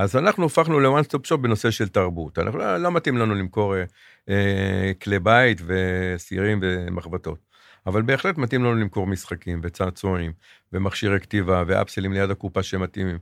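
A normal speaking voice from a man, fairly low in pitch at a moderate pace, on a very clean, silent-background recording with a dry, close sound and no echo. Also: ordinary pitch variation. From Israel, Jerusalem. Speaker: retail executive. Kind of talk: interview.

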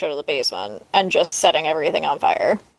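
Someone with a Canadian accent talks at a very fast pace. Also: woman. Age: 30s. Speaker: podcast co-host. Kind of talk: casual chat.

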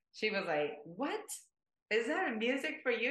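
With a Japanese accent and a bright, sharp tone, a woman speaks at a fairly slow pace, her pitch swinging very widely. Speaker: multilingual language-club member. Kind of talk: interview.

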